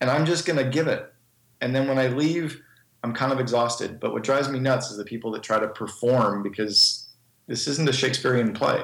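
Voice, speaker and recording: A man talks at a fairly quick pace and medium pitch, with ordinary pitch variation. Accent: Canadian. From Northern Canada. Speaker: business speaker and speaking coach. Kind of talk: podcast interview. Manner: fast.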